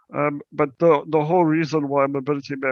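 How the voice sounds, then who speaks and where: A man with a South African accent, fairly high-pitched, fairly quick and flat in a monotone. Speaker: accessibility company account manager, wheelchair user. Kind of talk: presentation talk. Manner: halting, many fillers and repetitions.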